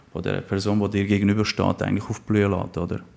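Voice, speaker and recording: A man with a fairly low pitch. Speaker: life coach. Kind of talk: interview. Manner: playful.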